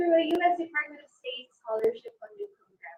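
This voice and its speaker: A woman with a Filipino accent speaks at a high pitch with very wide pitch swings. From Philippines, Negros Occidental. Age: 20s. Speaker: pageant contestant. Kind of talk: pageant self-introduction.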